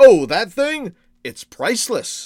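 A man speaks slowly in a put-on character voice, pitched high, with big swings in pitch. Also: slightly mellow tone.

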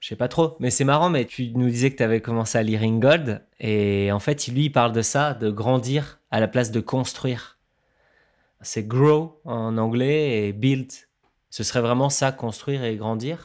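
On a very clean recording with a silent background, a man speaks at a fairly slow pace. His medium pitch shows ordinary variation. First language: not French (speaking French). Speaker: musician and sound artist. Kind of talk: casual chat.

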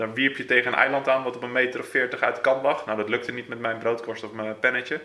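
Against noticeable background noise, a man talks at a very fast pace and a medium pitch. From Netherlands, South Holland (Gouda area). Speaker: carp angler. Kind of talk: casual interview.

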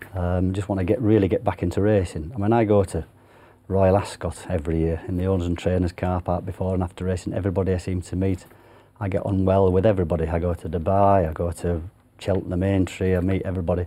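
A man's very deep, low voice with a dark, mellow tone, a Yorkshire accent, a very fast pace and flat, monotone intonation. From Yorkshire, northern England. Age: 50s. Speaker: retired jockey. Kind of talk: interview. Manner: halting.

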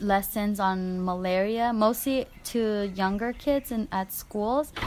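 This woman has a medium pitch and fairly even intonation. She talks at a very slow pace. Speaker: Peace Corps health volunteer. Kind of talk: casual interview.

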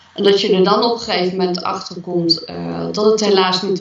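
A woman speaks at a moderate pace with a medium pitch and fairly even intonation, with audible room echo and noticeable background noise. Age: 40s. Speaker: interviewee sharing personal story. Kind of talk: podcast interview. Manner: halting.

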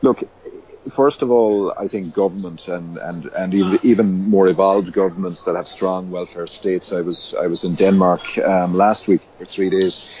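A man with an Irish accent talks at a moderate pace in a very deep, low pitch. His intonation is fairly even, and background noise is noticeable. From Ireland, Limerick. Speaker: community development faculty member. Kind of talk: interview. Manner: hesitant, many fillers and repetitions.

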